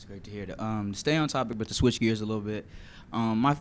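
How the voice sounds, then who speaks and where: Here a man at medium pitch uses ordinary pitch variation in an ordinary speaking voice. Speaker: student sports reporter. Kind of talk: casual chat.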